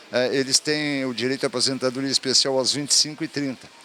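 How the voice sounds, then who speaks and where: A man speaks at a very fast pace. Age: 70s. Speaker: sports council president, physical education professional. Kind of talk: interview. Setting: event venue.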